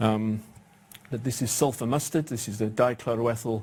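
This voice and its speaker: A man talks in a somewhat breathy voice with fairly even intonation. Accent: British. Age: 60s. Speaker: cancer research professor. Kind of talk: lecture. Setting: stage with audience.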